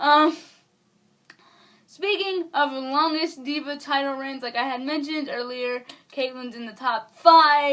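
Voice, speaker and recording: A bright, sharp tone comes at a fairly slow pace with ordinary pitch variation, big swings in loudness, and long, frequent pauses. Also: woman, high pitch for a woman. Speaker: wrestling vlogger. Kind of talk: casual vlog commentary.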